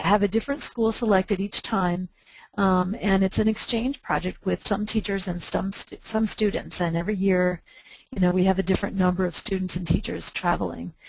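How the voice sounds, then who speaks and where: A woman's somewhat breathy voice sits at a medium pitch, moving at a moderate pace with fairly even intonation. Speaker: nonprofit chapter volunteer presenter. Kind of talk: webinar presentation. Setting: webinar.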